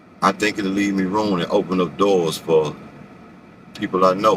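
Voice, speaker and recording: A man talks in a fairly low register while noticeable background noise carries on around him. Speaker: rideshare driver vlogger. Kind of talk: casual vlog monologue. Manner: fast.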